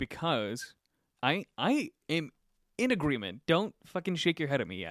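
This very clean recording with a silent background has a dry, close sound with no echo, carrying an animated voice with vocal fry and very wide pitch swings at a fairly slow pace. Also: man, fairly high pitch for a man. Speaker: podcast co-host. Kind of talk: casual chat.

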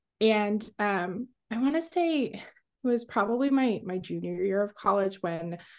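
A woman with an unremarkable speaking voice talks at a fairly slow pace, her medium pitch showing ordinary variation against a quiet background. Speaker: oil painter. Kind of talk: casual interview.

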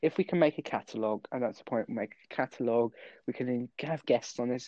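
A man's normal speaking voice at medium pitch, fairly quick pace, and ordinary pitch variation. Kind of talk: casual chat.

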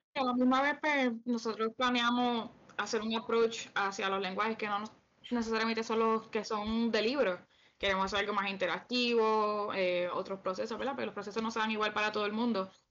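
Here is a woman with a normal speaking voice. Her fairly high pitch carries fairly even intonation. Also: moderate pace. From Puerto Rico, Canóvanas. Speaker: podcast co-host, polyglot. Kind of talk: casual chat.

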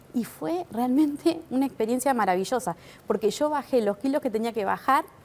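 Speaking at a moderate pace, a woman uses a fairly high pitch and very wide pitch swings. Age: 50s. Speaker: weight-loss patient. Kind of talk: testimony.

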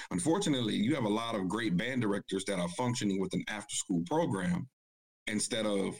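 A man with an ordinary speaking voice, fairly low in pitch, at a moderate pace and with lively intonation. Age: 30s. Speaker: high school band director, panelist. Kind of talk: casual panel discussion.

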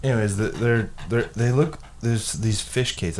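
A man with an unremarkable speaking voice at a moderate pace. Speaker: podcast host. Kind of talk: casual chat. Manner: profane, joking.

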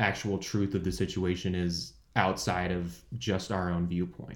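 A man speaking at a very slow pace. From California, San Jose. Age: 20s. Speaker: student podcast co-host. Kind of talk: casual chat.

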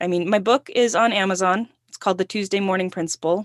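With ordinary pitch variation, a woman speaks in a plain, everyday voice, the sound dry and close with no echo. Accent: American. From Northern California and Utah. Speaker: writer and podcaster. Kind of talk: casual interview.

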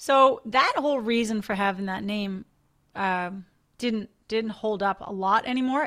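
At a moderate pace, a woman speaks in a normal speaking voice with fairly high pitch and ordinary pitch variation. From Newfoundland, Canada. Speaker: dentist. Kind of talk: casual interview.

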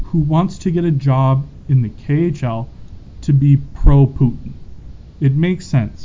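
With a Canadian accent and a somewhat breathy voice, a man talks at a very slow pace using ordinary pitch variation. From Calgary, Canada. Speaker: sports podcast co-host. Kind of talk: casual sports chat.

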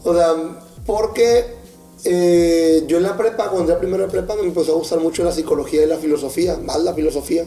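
Over noticeable background noise, a man talks at a moderate pace with a high pitch. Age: 20s. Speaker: comedian. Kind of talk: casual chat. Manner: animated.

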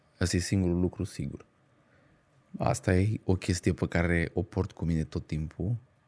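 A man speaks with a very deep, low pitch and a dark, mellow tone. His intonation is fairly even, and the sound is dry and close with no echo. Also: moderate pace. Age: 40. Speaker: stand-up comedian. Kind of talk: casual chat. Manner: halting, many filler sounds.

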